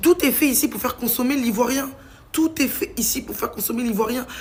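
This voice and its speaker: Lively intonation from a woman pitched high. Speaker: vlogger. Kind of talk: casual vlog rant. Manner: fast; animated.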